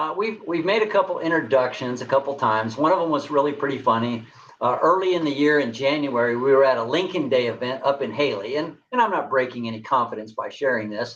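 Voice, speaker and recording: With an American accent, this speaker talks very fast with hardly any pauses and lively intonation. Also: man, fairly high pitch for a man. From New Mexico. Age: 60s. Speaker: political candidate. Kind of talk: interview.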